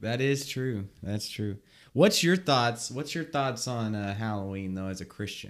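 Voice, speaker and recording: An ordinary speaking voice from a man with medium pitch and lively intonation comes at a fairly slow pace, on a very clean recording with a silent background. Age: 20s. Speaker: podcast co-host. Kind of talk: casual chat.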